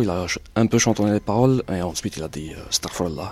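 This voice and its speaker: A man talks in a normal speaking voice, fairly low in pitch, at a moderate pace and with ordinary pitch variation. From Algeria, Batna. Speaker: writer and journalist. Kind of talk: casual chat. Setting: in a car.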